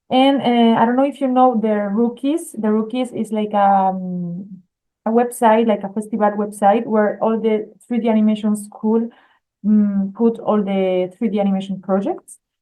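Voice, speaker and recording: With a strong Spanish accent, a woman talks at a moderate pace. Her pitch is fairly high and her intonation fairly even. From Spain. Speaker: art school admissions staff. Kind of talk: webinar presentation. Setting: video call webinar. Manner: hesitant, many fillers.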